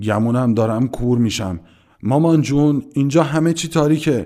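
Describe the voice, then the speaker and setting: A man puts on a hoarse character voice at a medium pitch. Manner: joking, mocking.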